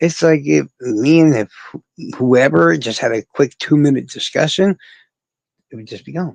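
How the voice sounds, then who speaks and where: A man with a fairly high pitch has an unremarkable speaking voice, moving at a moderate pace with lively intonation. His loudness swings widely, and the sound is dry and close with no echo. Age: 40s. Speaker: livestreamer. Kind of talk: casual chat.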